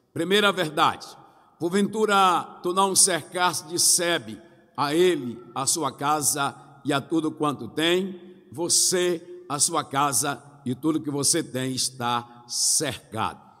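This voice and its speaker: Over noticeable background noise, a man with a fairly high pitch talks very slowly, using ordinary pitch variation. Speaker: pastor. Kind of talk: sermon.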